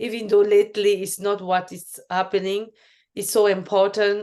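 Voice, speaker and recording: Against a quiet background, a woman speaks at a moderate pace in a French accent. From Cameroon. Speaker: podcast host, beauty queen. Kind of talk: interview.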